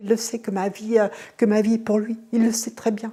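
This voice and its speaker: Her voice has a medium pitch and a dark, mellow tone, clearly a woman's. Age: 60s. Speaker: family caregiver, former nursing assistant. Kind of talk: testimony. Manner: halting.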